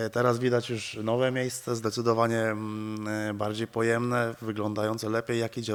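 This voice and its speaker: A man with a medium pitch rattles along at a very fast pace in a flat monotone. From Poland. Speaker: interviewer. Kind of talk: casual interview. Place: gym. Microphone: handheld.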